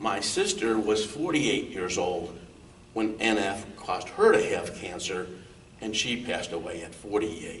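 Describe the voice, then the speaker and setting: There is audible room echo and noticeable background noise as a man speaks with a fairly low pitch, ordinary pitch variation, and a moderate pace. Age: 60s. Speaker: accountant, guest with neurofibromatosis. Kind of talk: interview. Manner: halting.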